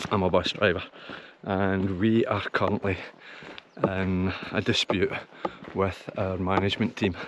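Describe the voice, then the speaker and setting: A man with a very deep, low voice speaks in a flat monotone with a Scottish accent, over noticeable background noise. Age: 60s. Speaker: hiking vlogger. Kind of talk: casual vlog. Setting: outdoors. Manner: halting.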